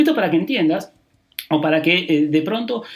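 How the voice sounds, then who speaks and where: At a very fast pace, a man speaks with very wide pitch swings. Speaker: public accountant, tax advisor. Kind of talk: podcast monologue on tax.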